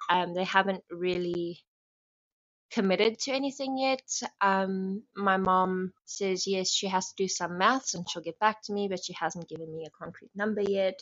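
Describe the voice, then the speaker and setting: Speaking with a South African accent, a woman keeps a moderate pace and medium pitch, with ordinary pitch variation and big swings in loudness. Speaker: bride-to-be sending a voice message. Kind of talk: recorded voice message. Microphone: phone voice note.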